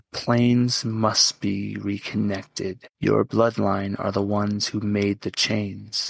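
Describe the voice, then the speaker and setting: A man's put-on character voice, fairly low in pitch, with hardly any pauses. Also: fairly slow pace. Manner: solemn, tender, urgent.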